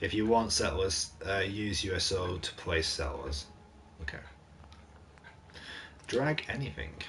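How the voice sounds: A man speaks at a fairly slow pace with low pitch, a fairly bright tone and lively intonation, and room echo is audible.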